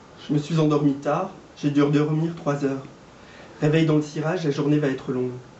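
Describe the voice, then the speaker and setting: A man with a fairly high voice speaks fairly quickly in a flat monotone, leaving long, frequent pauses. Noticeable background noise runs underneath. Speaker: amateur reader / actor taking part in a public reading. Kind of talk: literary reading aloud of a novel, shared between three readers.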